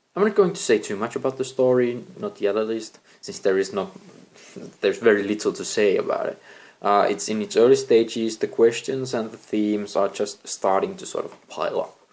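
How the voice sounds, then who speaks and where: A man with a non-native accent at a moderate pace. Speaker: amateur novelist, vlogger. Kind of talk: casual vlog talk. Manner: halting, with many fillers.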